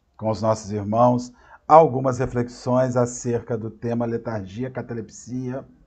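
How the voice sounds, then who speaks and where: A man's medium-pitched voice comes through at a very slow pace. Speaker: spiritist lecturer. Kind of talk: lecture. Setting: live online stream. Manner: halting. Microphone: unstable internet connection.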